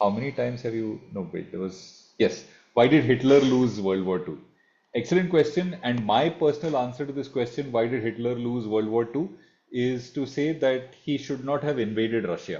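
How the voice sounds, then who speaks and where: A medium-pitched man with an Indian accent and ordinary pitch variation. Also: moderate pace. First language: Marathi. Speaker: online class mentor, economics teacher. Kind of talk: online masterclass Q&A. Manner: formal.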